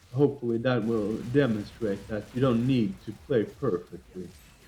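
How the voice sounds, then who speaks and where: A man's dark, mellow, somewhat breathy voice at medium pitch, with fairly even intonation and a moderate pace. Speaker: gaming guide creator. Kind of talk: video game walkthrough commentary. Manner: hesitant, many fillers.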